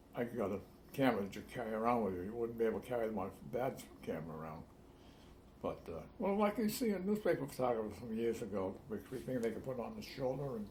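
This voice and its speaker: With a Rhode Island accent, a man of medium pitch talks at a very fast pace with lively intonation. Audible room echo and noticeable background noise surround him. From Newport, Rhode Island. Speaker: longtime resident. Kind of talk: oral history interview.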